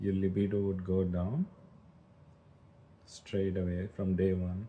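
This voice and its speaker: A man's very deep, low voice, dark and mellow, somewhat breathy, monotone and flat, with very even loudness at a fairly slow pace. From India, Hyderabad. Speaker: livestreamer. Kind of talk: casual chat. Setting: livestream.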